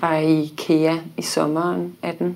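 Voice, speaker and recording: Her voice is very deep and low for a woman, dark and mellow in tone, with flat, monotone intonation. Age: 30s. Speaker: baking show winner, architect and blogger. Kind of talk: casual chat. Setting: studio.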